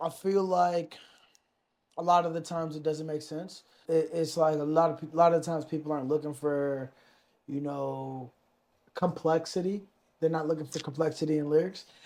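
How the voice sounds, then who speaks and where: The man's voice is fairly high in pitch, with monotone, flat intonation. He leaves long, frequent pauses. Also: moderate pace. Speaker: rapper. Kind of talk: casual chat. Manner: laid back.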